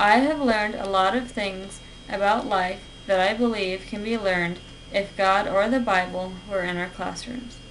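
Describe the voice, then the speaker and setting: A woman speaks at a moderate pace with ordinary pitch variation. Audible room echo and noticeable background noise surround her voice. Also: medium pitch for a woman. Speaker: college student. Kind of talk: persuasive speech. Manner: formal.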